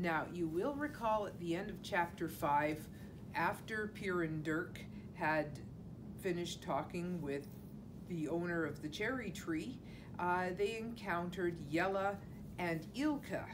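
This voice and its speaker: With noticeable background noise, a woman talks at a fairly low pitch with ordinary pitch variation. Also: fairly slow pace. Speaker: teacher reading to children. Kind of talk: storytime introduction and explanation. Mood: warm, friendly. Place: classroom. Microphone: camera far.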